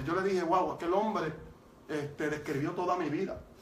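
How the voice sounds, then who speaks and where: A man with a Puerto Rican accent and a high pitch speaks amid audible room echo and noticeable background noise. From Puerto Rico. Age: 40s. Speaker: evangelist, former reggaeton artist. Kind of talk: testimony. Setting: studio.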